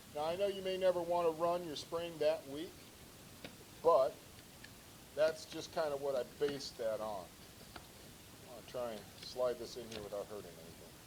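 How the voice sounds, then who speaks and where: Speaking at a moderate pace with a fairly high pitch, a man shows lively intonation and big swings in loudness. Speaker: woodworker making custom air gun stocks. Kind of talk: show-and-tell tutorial. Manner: loud, shouting.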